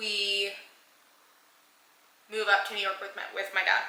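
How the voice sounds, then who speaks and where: A woman talks fairly slowly, and the room's echo is audible around her. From Panama, then San Antonio, Texas. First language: Spanish. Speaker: vlogger. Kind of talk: personal storytelling. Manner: casual with fillers.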